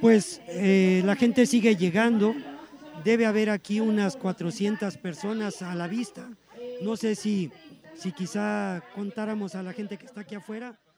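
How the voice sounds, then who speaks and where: Over crowd noise in the background, a man speaks at a high pitch and a fairly slow pace, his loudness swinging widely. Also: ordinary pitch variation. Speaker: radio host. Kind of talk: live radio broadcast.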